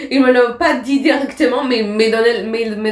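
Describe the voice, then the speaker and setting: There is noticeable background noise behind this woman. She speaks with a non-native accent and ordinary pitch variation. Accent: foreign accent in French. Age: 20s. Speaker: actress and theatre teacher. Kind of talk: podcast interview. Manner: halting.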